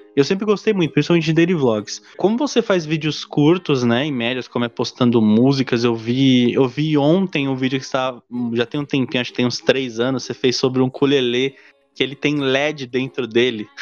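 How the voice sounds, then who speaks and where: Noticeable background noise sits under a man's voice. He talks at a moderate pace in a medium pitch with ordinary pitch variation. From Brazil, São Paulo (Diadema). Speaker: podcast host. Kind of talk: casual interview.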